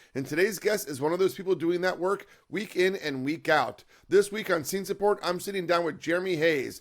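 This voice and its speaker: A man with an American accent, very fast pace, high pitch and ordinary pitch variation, on a very clean recording with a silent background. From DC area, US. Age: 50s. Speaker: podcast host, punk musician and label founder. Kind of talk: podcast interview.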